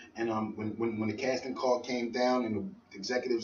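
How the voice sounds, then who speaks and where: A man's medium-pitched voice with fairly even intonation amid noticeable background noise. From Philadelphia. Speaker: rapper. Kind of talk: radio interview.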